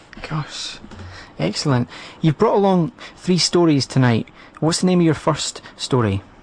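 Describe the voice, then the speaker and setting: A moderate pace broken by long, frequent pauses, with noticeable background noise. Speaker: radio host. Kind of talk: radio interview. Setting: radio studio. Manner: stammer.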